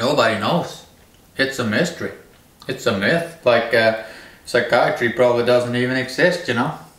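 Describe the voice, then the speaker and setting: Amid noticeable background noise and audible room echo, a man speaks at a moderate pace with a medium pitch and ordinary pitch variation. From Norway. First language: Norwegian. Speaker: video blogger. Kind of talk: monologue rant. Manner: halting.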